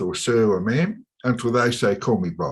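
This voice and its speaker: A man speaks at medium pitch and a fairly slow pace with a strong Australian accent. The recording is very clean, with a silent background. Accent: broad Australian. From Australia, suburban Melbourne. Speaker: chartered accountant and business advisor. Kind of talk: podcast interview. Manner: hesitant, many fillers.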